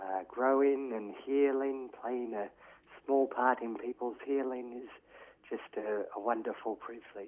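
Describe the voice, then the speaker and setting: This man has an Australian accent. His intonation is fairly even. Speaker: peer support worker. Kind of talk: interview.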